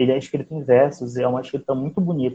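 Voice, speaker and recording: A man's voice comes across as somewhat breathy. He speaks fairly quickly. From Macapá, Amapá, northern Brazil. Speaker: writer. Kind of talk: interview.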